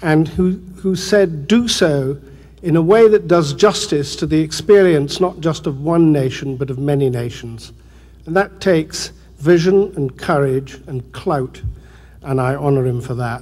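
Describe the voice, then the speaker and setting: The pace is fairly slow. The pitch varies in an ordinary way. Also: man, fairly high pitch for a man. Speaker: British television producer. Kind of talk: award acceptance speech.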